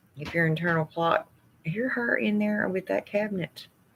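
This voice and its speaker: Noticeable background noise sits behind a woman with an American accent. Her pitch swings very widely. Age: 50s. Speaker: nurse. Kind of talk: casual chat. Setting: home, middle of the night livestream.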